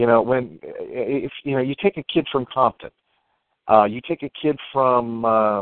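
Mumbling at a fairly slow pace, a man with an American accent speaks at a medium pitch. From US, upper Ohio Valley. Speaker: illustrator. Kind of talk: casual chat. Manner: mumbles, hesitant with fillers.

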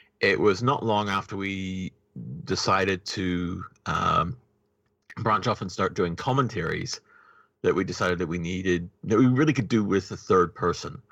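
In a New Zealand accent, a man with a bright, sharp tone talks at a fairly slow pace against a quiet background. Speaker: podcast co-creator. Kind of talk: casual interview.

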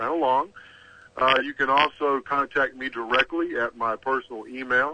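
A man with a Texan accent talks at a moderate pace and medium pitch. His delivery is monotone and flat. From Texas. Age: middle-aged. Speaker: author. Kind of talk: interview.

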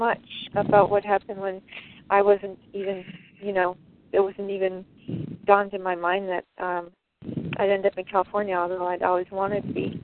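With an American accent, a woman talks at a moderate pace in a monotone, flat delivery, the sound dry and close with no echo. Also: medium pitch for a woman.

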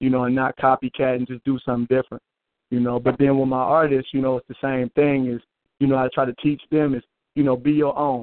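Talking very fast, a man is heard with an American accent. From US Midwest. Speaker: music label owner and artist. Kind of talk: casual chat on call-in radio show. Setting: phone call. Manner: casual, relaxed.

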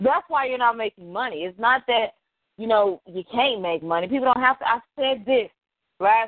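A woman with an American accent talks in an ordinary speaking voice at a moderate pace, her intonation lively. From Texas, Dallas. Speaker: podcast co-host. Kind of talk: casual chat. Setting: phone call.

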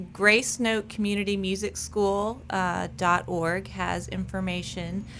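In a slight Southern accent, a woman with a medium pitch and a bright, sharp tone speaks at a very slow pace on a very clean recording with a silent background. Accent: slight southern twang. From Rhode Island. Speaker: amateur orchestra French horn player. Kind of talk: radio interview. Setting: radio studio.

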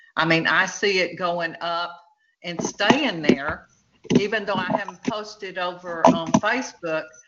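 Speaking at a fairly slow pace, this woman has a fairly low voice, a Texan accent and ordinary pitch variation. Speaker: author. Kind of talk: casual chat.

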